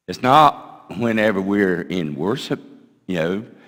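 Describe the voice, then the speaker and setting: A man with a Southern US accent, at a fairly slow pace. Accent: US South. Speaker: pastor. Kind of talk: sermon. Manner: loud.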